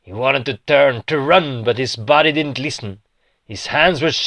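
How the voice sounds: A natural reading voice with ordinary pitch variation over a quiet background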